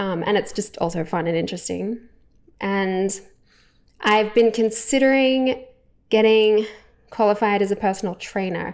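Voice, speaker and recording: Speaking in an Australian accent at a medium pitch, a woman keeps a moderate pace and fairly even intonation with long, frequent pauses, in a very clean recording with a silent background. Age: 30s. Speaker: vlogger. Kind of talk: casual monologue to camera. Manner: hesitant, many fillers.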